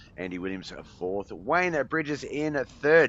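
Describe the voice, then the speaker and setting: Lively intonation runs through the speech of a man with an Australian accent. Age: 40s. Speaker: sim racing commentator. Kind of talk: live commentary. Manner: animated.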